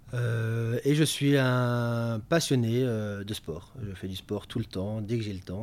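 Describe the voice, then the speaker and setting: Barely pausing, a man speaks with ordinary pitch variation and big swings in loudness. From Belgium, Namur. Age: 30s. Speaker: retail sustainability manager. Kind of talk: interview. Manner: halting, many fillers and repetitions.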